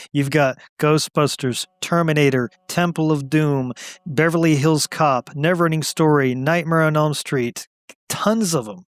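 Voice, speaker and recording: A man with an American accent speaks at a fairly slow pace in a fairly high voice with ordinary pitch variation. The sound is dry and close with no echo. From US South. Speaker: podcast co-host. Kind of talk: casual chat.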